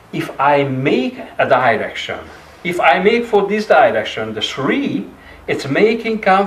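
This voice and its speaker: A man with a Hungarian accent speaks at a high pitch and a fairly slow pace, with very wide pitch swings, audible room echo, and noticeable background noise. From Hungary. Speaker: clarinettist and music teacher. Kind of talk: masterclass lecture. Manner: halting.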